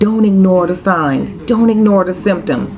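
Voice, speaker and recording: A woman in a Floridian accent speaks at a moderate pace against noticeable background noise. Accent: Florida dialect. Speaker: vlogger. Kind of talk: casual vlog monologue. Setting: at home. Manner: animated.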